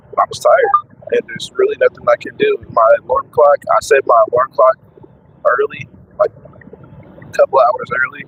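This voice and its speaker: With music in the background, a man talks at a moderate pace with long, frequent pauses. His pitch is extremely high, and his intonation is lively. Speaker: truck driver vlogger. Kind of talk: casual vlog talk. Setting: in a truck. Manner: halting, repetitive. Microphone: cheap microphone.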